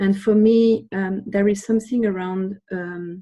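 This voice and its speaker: Speaking with a French accent, a woman's medium-pitched voice is dark and mellow in tone. Her intonation is monotone and flat against a quiet background. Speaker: webinar participant. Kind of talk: group discussion. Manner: hesitant.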